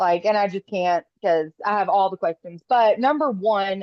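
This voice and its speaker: A woman speaks moderately paced at a medium pitch, varying it in an ordinary way. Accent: Southern US. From US South. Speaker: call participant, aspiring influencer. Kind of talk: casual chat.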